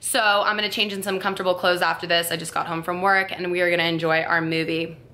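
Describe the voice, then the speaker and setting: A woman with an American accent talks at a very fast pace, with fairly even intonation and a fairly low pitch. Noticeable background noise is present. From South Florida. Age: 20s. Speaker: YouTube vlogger. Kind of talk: casual talk to camera.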